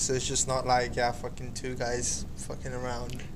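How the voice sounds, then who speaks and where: A man talks at a fairly quick pace, with noticeable background noise behind him. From India. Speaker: podcast co-host. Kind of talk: casual chat.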